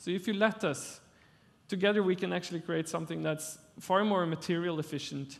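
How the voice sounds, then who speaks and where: Speaking at a moderate pace, a man uses a fairly high voice. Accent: Norwegian. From Norway. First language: Norwegian. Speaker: architect. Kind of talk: conference talk. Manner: halting.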